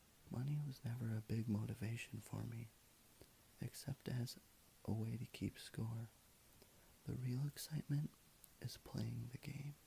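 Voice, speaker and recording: A man's medium-pitched, somewhat breathy voice, dark and mellow and relaxed in tone, with fairly even intonation, a fairly slow pace and long, frequent pauses. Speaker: ASMR video creator. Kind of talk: ASMR quote reading. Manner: soft, relaxed.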